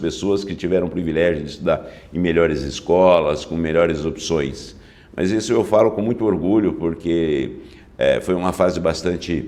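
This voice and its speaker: A man speaks at a moderate pace with a very deep, low pitch and ordinary pitch variation. His tone is dark and mellow, and there is audible room echo. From interior of São Paulo state, Brazil (Novo Horizonte). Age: 60s. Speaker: public prosecutor. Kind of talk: interview.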